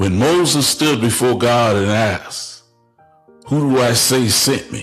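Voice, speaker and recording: Music plays in the background as a man talks at a fairly slow pace. His pitch is medium and varies in an ordinary way. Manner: preaching, rhetorical, paused delivery.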